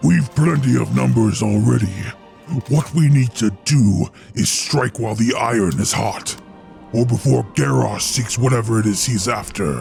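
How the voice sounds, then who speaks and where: A man growls through a put-on character voice at a medium pitch. Clear music plays in the background. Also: moderate pace. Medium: machinima.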